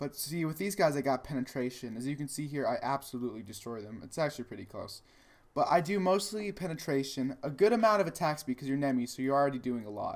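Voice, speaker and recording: Very fast speech on a very clean recording with a silent background. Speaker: gaming video creator. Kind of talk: gameplay commentary. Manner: halting, self-described stutter; casual, hesitant with many fillers.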